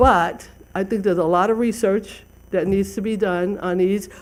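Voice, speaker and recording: Speaking at a moderate pace, a woman has a medium pitch, a dark, mellow tone and ordinary pitch variation. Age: 70s. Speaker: city council member. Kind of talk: council meeting debate. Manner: halting, repeats words.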